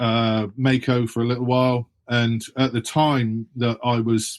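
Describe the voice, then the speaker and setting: A man with an English accent, medium in pitch, with monotone, flat intonation and a dry, close sound free of echo. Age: 60s. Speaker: author and former BMX pro. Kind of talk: interview.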